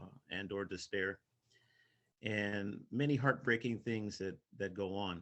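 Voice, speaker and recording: A man with a Midwestern American accent, fairly low in pitch, fairly slow with long, frequent pauses and fairly even intonation. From US Midwest, Toledo, Ohio. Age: 60s. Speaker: golf professional, company founder. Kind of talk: webinar presentation. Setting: video call. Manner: halting, with frequent repetitions.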